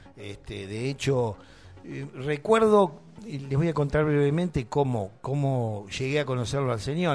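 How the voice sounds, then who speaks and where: An unremarkable speaking voice, lively intonation, moderate pace. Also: man. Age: 50s. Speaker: radio host. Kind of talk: casual chat.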